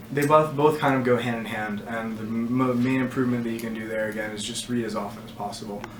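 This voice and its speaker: A man at medium pitch, very fast with hardly any pauses, fairly even intonation and big swings in loudness, amid audible room echo and noticeable background noise. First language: not English. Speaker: test prep tutor. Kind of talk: casual advice session.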